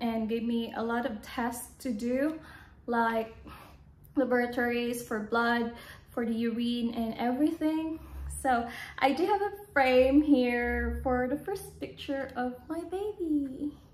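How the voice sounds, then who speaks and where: A woman speaks at a very slow pace in a high pitch. Room echo is audible. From Philippines. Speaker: vlogger. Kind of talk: casual vlog monologue. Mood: calm, personal storytelling. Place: home room. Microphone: phone near.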